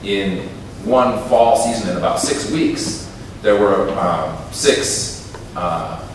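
A man with an American accent talks at a very slow pace. Strong room echo and light background noise surround his voice. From United States, Minnesota. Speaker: poet. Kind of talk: talk between poems at a poetry reading. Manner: hesitant, reflective. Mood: reflective, somber. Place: stage.

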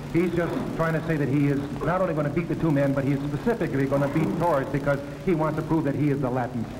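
Through noticeable background noise, a man speaks at a very fast pace and a fairly high pitch, with fairly even intonation. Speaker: professional wrestler. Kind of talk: wrestling promo, a boastful locker-room interview in character. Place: hall. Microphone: handheld.

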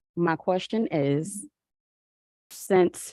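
Soft-spoken, a woman talks in a dry, close sound with no echo. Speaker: school board member. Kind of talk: meeting question.

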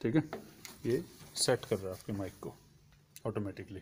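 Somewhat breathy, a man talks at a moderate pace. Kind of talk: tutorial. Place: hall. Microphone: phone near.

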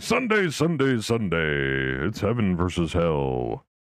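Putting on a character voice, a man speaks fairly slowly at a very deep, low pitch. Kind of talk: announcer. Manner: hyped, dramatic.

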